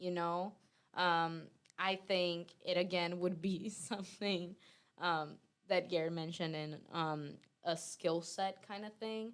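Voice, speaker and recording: A woman with a non-native accent, fairly low pitch and fairly even intonation, at a very slow pace. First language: not English. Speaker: debate guest. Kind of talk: casual debate. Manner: hesitant, searching for words.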